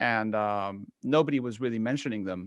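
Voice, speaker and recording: A man with a medium pitch speaks in an American accent against a quiet background. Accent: picked up American. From Spain. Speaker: photography YouTuber. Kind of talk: casual panel chat.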